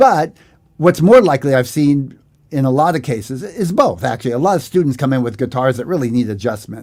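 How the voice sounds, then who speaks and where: A man speaks at a fairly quick pace and a medium pitch. His intonation is lively. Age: 60s. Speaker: guitar teacher. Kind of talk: live-stream Q&A lesson. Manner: casual, hesitant with fillers.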